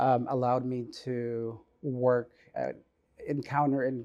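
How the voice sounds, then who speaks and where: Against a quiet background, a man with a Spanish accent talks in a dark, mellow tone with monotone, flat intonation. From US Midwest. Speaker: healthcare supply chain manager. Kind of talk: interview. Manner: halting, many fillers.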